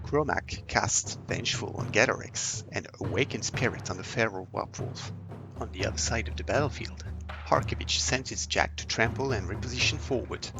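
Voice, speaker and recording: With music in the background, a man speaks at a fairly low pitch and a moderate pace, his intonation lively. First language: not English. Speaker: tabletop wargame battle reporter. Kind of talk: game battle report narration.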